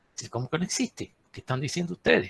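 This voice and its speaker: A man's voice swings very widely in pitch, with a dry, close sound and no echo. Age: 60s. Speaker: geologist. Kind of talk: lecture. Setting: webinar.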